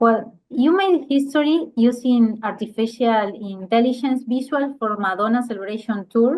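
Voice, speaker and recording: With a Spanish accent, a woman talks at a moderate pace with hardly any pauses, her fairly high pitch showing ordinary variation. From Uruguay. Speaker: interviewer. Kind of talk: interview, reading prepared questions.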